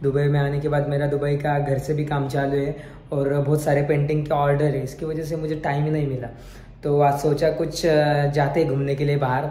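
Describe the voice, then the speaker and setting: Over noticeable background noise and audible room echo, a man with fairly high pitch speaks in a monotone, flat intonation. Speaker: vlogger and painter. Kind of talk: casual vlog narration.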